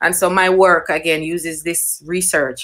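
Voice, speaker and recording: A woman speaks with a Jamaican accent. Her pace is moderate. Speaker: nature writer. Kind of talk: panel talk. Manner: hesitant, many fillers.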